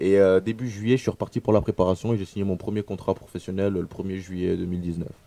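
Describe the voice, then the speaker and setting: Very fast and with fairly even intonation, a man talks at a very deep, low pitch in a dark, mellow tone. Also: hardly any pauses. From Burkina Faso. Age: 20s. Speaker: professional footballer. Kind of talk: radio interview. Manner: halting.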